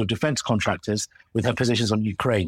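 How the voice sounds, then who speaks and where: On a very clean recording with a silent background and a dry, close sound without echo, a man with an English accent speaks at a fairly quick pace with ordinary pitch variation. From England. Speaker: comedian. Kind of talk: comedy sketch chat. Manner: animated.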